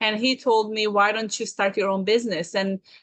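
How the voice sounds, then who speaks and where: Speaking at a moderate pace, a woman talks with a Serbian accent. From Serbia (Belgrade). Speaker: business consultant. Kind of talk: interview. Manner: halting.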